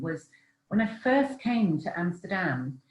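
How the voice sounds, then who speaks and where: A woman with a British accent speaks at a moderate pace, somewhat breathy, with lively intonation. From England. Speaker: relocation coach and author. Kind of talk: online Q&A talk. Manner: hesitant with many fillers.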